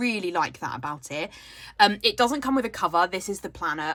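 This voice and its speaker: A bright, sharp tone comes through in a British accent on a very clean recording with a silent background. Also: woman. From United Kingdom. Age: 30s. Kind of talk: casual talk to camera. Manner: chatty.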